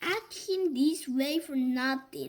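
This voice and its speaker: A woman puts on a character voice that is gruff and growling, pitched high. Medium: read story. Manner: gruff, growling.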